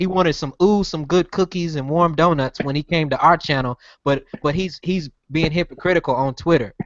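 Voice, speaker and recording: At a fairly quick pace, a man with a fairly high pitch talks with ordinary pitch variation. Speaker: podcast host. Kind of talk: heated debate. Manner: loud.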